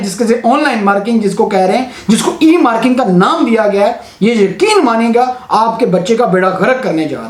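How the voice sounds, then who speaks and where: Through noticeable background noise and audible room echo, a man speaks in an animated tone with an extremely high pitch. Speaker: teacher and exam marker. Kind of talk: opinion vlog, appeal to authorities. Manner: animated, impassioned.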